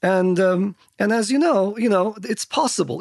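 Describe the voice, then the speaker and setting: The intonation is lively and the pace moderate, with a dry, close sound and no echo. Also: man. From Turkey, Istanbul. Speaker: tech company CEO, former computer science professor. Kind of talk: interview.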